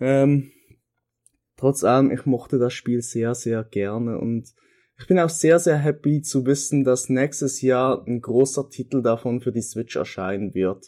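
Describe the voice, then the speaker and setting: Over a silent background in a very clean recording, a man talks in an unremarkable speaking voice at medium pitch with ordinary pitch variation. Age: 20s. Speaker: podcast contributor recording a segment. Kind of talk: recorded monologue. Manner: casual with frequent fillers.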